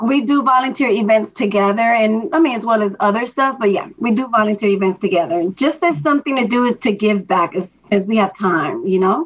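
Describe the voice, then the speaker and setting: A woman with an unremarkable speaking voice, fairly high in pitch, with lively intonation, a fairly quick pace and hardly any pauses. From Miami, Florida, Dominican immigrant family. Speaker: longtime race volunteer. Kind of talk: interview.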